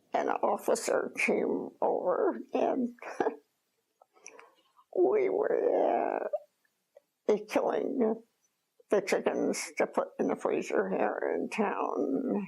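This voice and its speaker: With long, frequent pauses, a woman speaks very slowly in an American accent. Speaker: former farm woman, World War II era worker. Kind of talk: interview answer.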